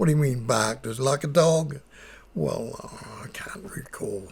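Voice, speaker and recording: Speaking with a New Zealand accent, a man uses lively intonation at a fairly slow pace. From New Zealand, Wairarapa. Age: 80s+. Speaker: Māori elder. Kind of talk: oral history recollection. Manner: humorous, warm.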